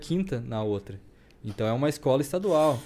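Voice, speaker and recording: Speaking at a fairly quick pace, a man uses a dark, mellow tone at a fairly high pitch. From southern Brazil, Rio Grande do Sul (Campo Bom). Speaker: bodybuilder and barbershop entrepreneur. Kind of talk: casual chat.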